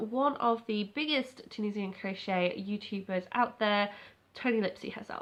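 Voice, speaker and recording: Fairly high in pitch, a woman with an English accent speaks with ordinary pitch variation. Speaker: crochet YouTuber. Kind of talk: casual vlog chat. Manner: fast.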